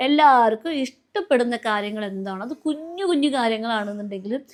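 Her intonation moves in a lively way. The woman speaks at a high pitch. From Kerala, India. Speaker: family vlogger. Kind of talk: casual vlog talk to camera. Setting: at home.

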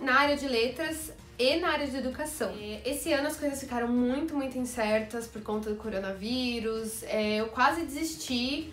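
A high-pitched woman at a moderate pace with ordinary pitch variation, plus audible room echo and faint background music. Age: 20s. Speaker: YouTuber and music teacher; YouTuber, music teacher. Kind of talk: casual vlog. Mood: lively, happy news. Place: home room.

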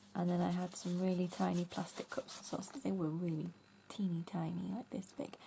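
Somewhat breathy and dark, mellow in tone, a woman with an English accent speaks at a fairly low pitch with ordinary pitch variation. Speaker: craft YouTuber. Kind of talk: casual craft tutorial. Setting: home craft room.

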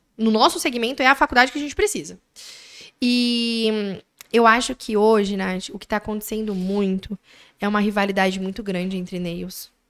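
Against a quiet background, a woman speaks. Her voice is fairly high, with ordinary pitch variation. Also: moderate pace. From Brazil, Mogi das Cruzes; Brazil. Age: 20s. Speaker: manicurist and business owner; podcast guest. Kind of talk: interview storytelling. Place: studio. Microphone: studio mic.

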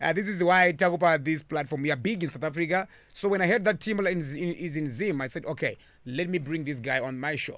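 Against a quiet background, a man talks at a very fast pace in a fairly high pitch, with a dry sound with no echo. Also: ordinary pitch variation. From Zimbabwe. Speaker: radio host and DJ; radio host, DJ. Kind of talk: radio interview. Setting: radio studio. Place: studio. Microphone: studio mic.

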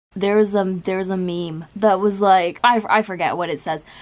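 Noticeable background noise sits behind this speaker. She is a woman with a medium pitch. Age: young. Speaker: college student and lifestyle vlogger. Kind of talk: casual talk to camera. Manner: casual, chatty. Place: home room. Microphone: phone near.

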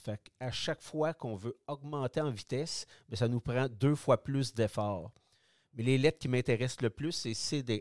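With a Quebec accent, a man talks at a fairly slow pace and medium pitch with ordinary pitch variation, the sound dry and close with no echo on a very clean recording with a silent background. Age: 60s. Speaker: product designer, retired cyclist. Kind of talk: interview. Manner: halting.

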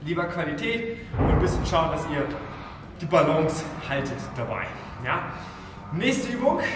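A man talks at a moderate pace while audible room echo and noticeable background noise fill the recording. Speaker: fitness trainer. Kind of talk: tutorial. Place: gym.

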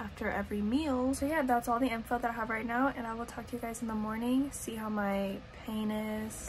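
The woman's intonation stays fairly even at a fairly quick pace. Light background noise sits behind her. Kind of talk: casual vlog chat. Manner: careful, stiff-jawed speech, tired. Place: home room. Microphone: phone near.

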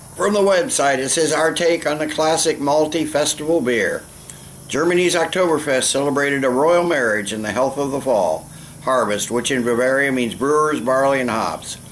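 A man talks with ordinary pitch variation at a moderate pace, light background noise underneath. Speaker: beer reviewer. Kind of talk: casual vlog chat. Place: garden. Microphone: camera far.

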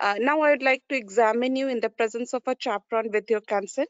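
The pace is fairly quick. It is an ordinary speaking voice. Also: woman. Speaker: trainee doctor, exam candidate. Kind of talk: role-play consultation. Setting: video call.

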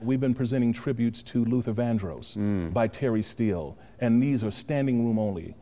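Fairly quick delivery from a man with an American accent, a dark, mellow tone, and ordinary pitch variation. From Los Angeles. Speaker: actor, producer and director. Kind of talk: interview answer. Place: stage. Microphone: lapel.

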